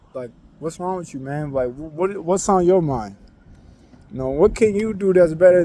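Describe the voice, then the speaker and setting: Talking at a fairly quick pace, a man has a high-pitched voice. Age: young. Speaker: vlogger. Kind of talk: casual vent monologue. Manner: low energy; rambling, hesitant.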